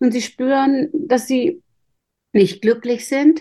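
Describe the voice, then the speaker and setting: At a fairly slow pace, a woman speaks in a high pitch with a dark, mellow tone and ordinary pitch variation. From northern Germany. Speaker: intuition coach. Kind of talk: interview.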